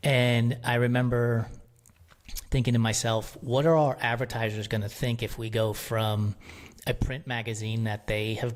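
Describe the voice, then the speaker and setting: An unremarkable speaking voice from a man, medium-pitched and fairly slow, with fairly even intonation on a very clean recording with a silent background. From New York City (Bronx), Puerto Rican family. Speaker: media company founder. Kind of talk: podcast interview.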